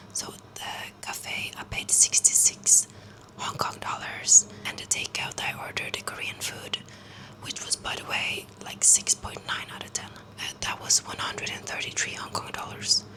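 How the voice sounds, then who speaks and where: A woman whispering at a moderate pace, her loudness swinging widely, with noticeable background noise. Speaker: student vlogger. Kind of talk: casual vlog to camera. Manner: soft-spoken.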